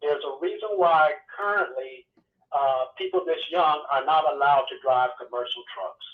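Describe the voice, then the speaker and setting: This man has a normal speaking voice, pitched fairly high, moving at a moderate pace with ordinary pitch variation. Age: 60s. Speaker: long-haul truck driver. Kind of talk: call-in talk show.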